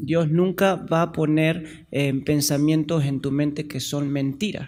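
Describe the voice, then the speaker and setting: Speaking at a very slow pace, a man with an Argentine accent has a fairly high pitch. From Argentina. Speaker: pastor. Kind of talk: sermon. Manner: halting.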